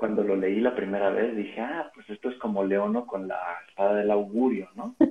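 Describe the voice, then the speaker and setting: Fairly even intonation carries a plain, everyday voice at a moderate pace. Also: man, fairly low pitch for a man. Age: 30s. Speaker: teacher. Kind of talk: casual chat.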